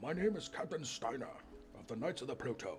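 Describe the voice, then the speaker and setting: A man performs a put-on character voice at a very fast pace. Background noise is clear. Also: fairly high pitch for a man. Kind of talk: grandiose, formal. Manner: upset, pompous, slightly goofy.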